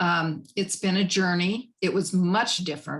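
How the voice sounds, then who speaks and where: A woman with a Midwestern US accent, fairly low in pitch and somewhat breathy. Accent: US Midwest. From Nebraska (Lincoln). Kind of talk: panel discussion.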